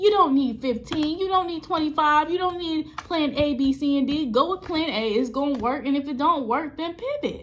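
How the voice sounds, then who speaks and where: Loud and animated, a woman speaks at a high pitch with ordinary pitch variation and hardly any pauses. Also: moderate pace. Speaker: spiritual reader and death doula. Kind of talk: tarot reading monologue.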